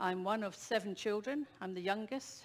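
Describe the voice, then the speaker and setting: In a Scottish accent, a woman talks with a medium pitch. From Scotland, Edinburgh. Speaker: guest speaker, traveller. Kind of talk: travel presentation to audience. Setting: ship theatre stage with audience.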